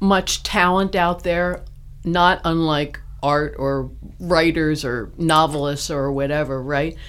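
A woman with an American accent at a very slow pace, with noticeable background noise. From US East Coast, Baltimore. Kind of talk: casual interview chat.

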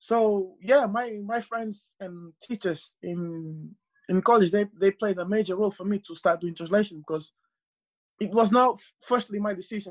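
A man's high voice with a Portuguese accent, at a moderate pace, with ordinary pitch variation and a dry, close sound with no echo. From Portugal, Cape Verdean family. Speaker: football translator. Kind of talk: casual interview. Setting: remote call.

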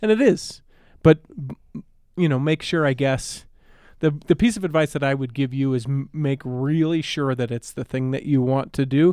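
A man's dark, mellow voice sits fairly high in pitch, moving at a moderate pace with ordinary pitch variation in a dry, close sound with no echo. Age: 30s. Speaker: podcast guest. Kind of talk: casual chat.

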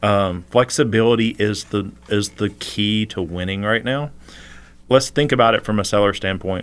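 A man with an ordinary speaking voice, fairly low in pitch, with ordinary pitch variation at a moderate pace. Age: 40s. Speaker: realtor. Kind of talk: casual interview. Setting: studio.

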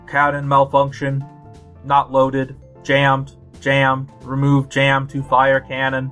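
Over clear music in the background, a man in a put-on character voice talks at a fairly slow pace and medium pitch, with monotone, flat intonation. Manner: flat, robotic.

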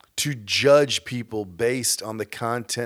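Speaking with an American accent, a man talks at a fairly slow pace with fairly even intonation, in a very clean recording with a silent background. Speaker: podcast host. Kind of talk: rally speech, preachy call to action. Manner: urgent, forceful, rousing, with emphatic short commands.

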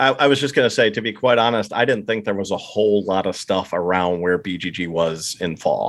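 In an American accent, the speaker goes at a fairly quick pace with hardly any pauses and ordinary pitch variation. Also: man, fairly low pitch for a man. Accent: slight East Coast, Pennsylvania Dutch tone. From eastern Pennsylvania, US. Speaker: board game enthusiast and listener. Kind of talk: casual chat. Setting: remote call.

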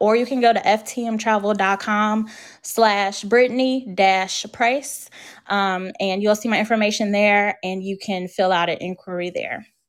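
An unremarkable speaking voice: a woman with an American accent, medium pitch, fairly even intonation and a moderate pace. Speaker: Disney travel agent. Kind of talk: casual interview chat. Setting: video call.

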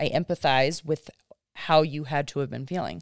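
The speaker talks at a moderate pace with fairly even intonation, in a dry, close recording with no echo, very clean against a silent background. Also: woman. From Kentucky. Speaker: mother. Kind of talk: casual chat.

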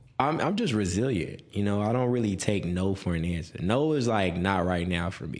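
In an American accent, a man with a fairly low pitch speaks at a moderate pace, with audible room echo. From Texas, Houston suburbs (Spring). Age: 30s. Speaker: real estate broker. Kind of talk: interview.

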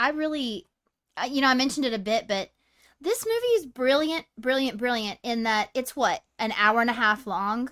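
A woman speaks loudly in a high, bright, sharp voice at a moderate pace. Her pitch varies in an ordinary way, and the recording is very clean with a silent background. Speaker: podcast co-host. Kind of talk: casual chat. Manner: loud, excitable.

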